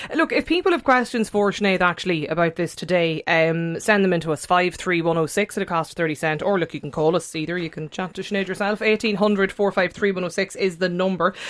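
A woman with an Irish accent, medium-pitched, at a very fast pace with hardly any pauses and ordinary pitch variation, over noticeable background noise. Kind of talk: radio interview. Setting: studio.

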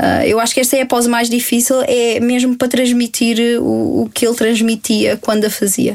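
The speaker is a woman with a fairly high pitch. She talks in a flat monotone. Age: 20s. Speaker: cosplayer. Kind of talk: casual interview.

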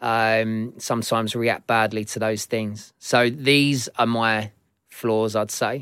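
Very slow, monotone, flat delivery from a man at medium pitch. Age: 40s. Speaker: podcast host. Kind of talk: casual monologue with advice. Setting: studio. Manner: hesitant fillers.

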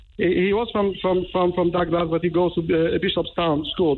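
Speaking with a strong non-native accent, a man holds a high pitch and fairly even intonation. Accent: foreign accent, strong. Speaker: caller, witness. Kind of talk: radio phone-in. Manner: halting.

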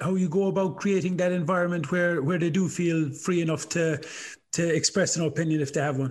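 Speaking very fast with an Irish accent, a man holds a high pitch and fairly even intonation. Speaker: podcast host and coach. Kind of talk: casual interview chat.

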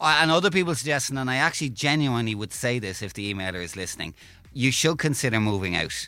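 Very fast and with very wide pitch swings, a man with an Irish accent speaks in a medium-pitched, bright, sharp voice in a very clean recording with a silent background. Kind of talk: casual chat.

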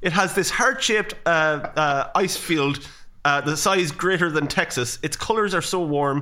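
With an Irish Midlands accent, a man speaks in a bright, sharp tone. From Ireland, Athlone. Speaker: podcast co-host. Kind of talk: casual chat.

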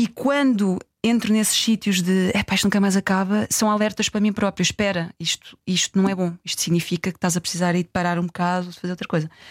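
Recorded very cleanly with a silent background and a dry, close sound with no echo, a woman speaks with hardly any pauses. She has a plain, everyday voice, a medium pitch and fairly even intonation. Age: 40s. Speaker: festival communications director. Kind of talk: interview conversation.

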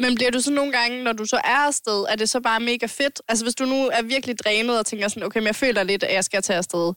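A woman talks at a very fast pace with hardly any pauses and very even loudness, her fairly high pitch showing ordinary variation. The sound is dry and close, with no echo. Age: 20s. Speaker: podcast host. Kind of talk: casual chat. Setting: home-made studio.

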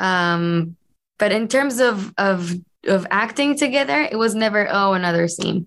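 A woman with an Israeli accent speaks at a fairly slow pace and a medium pitch. Her intonation is lively, and her loudness stays very even. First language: Hebrew. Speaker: actress. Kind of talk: interview. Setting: video call.

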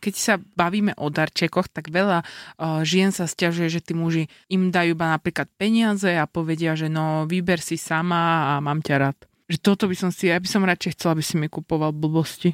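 A woman talks at a moderate pace with hardly any pauses, in an unremarkable speaking voice with a fairly low pitch and fairly even intonation. The recording is very clean and silent in the background, with a dry, close sound and no echo. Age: 30s. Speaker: radio show co-host. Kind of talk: casual chat.

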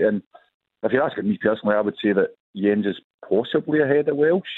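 In a Glaswegian accent, a man speaks very fast with lively intonation. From Glasgow. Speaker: football fan caller. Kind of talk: radio phone-in. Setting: phone call.

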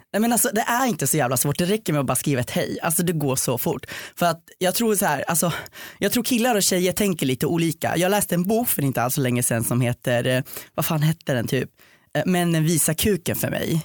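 A man's high-pitched voice moves with lively intonation while its loudness stays very even. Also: fairly quick pace. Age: 20s. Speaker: podcast guest. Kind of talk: casual chat. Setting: studio.

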